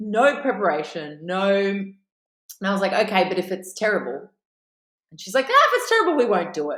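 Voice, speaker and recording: A woman with an Australian accent, medium pitch, and an animated tone, her lively intonation, fairly quick pace, big swings in loudness, and long, frequent pauses all on display. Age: 40s. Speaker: actress. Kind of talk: interview.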